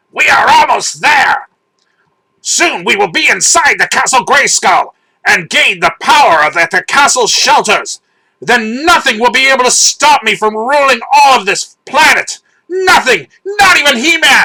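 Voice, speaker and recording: A put-on character voice, hissing, at a moderate pace. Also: man, extremely high pitch for a man. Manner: hissing, menacing, gloating.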